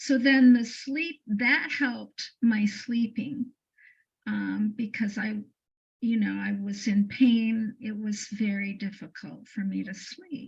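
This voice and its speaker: A woman's fairly high, somewhat breathy voice at a very slow pace with fairly even intonation. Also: big swings in loudness. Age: 70s. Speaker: interview guest sharing healing story. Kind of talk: testimony. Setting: call.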